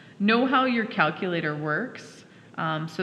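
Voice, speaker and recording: Female speech with noticeable background noise and some audible echo from the room. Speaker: high school math teacher. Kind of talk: classroom lecture.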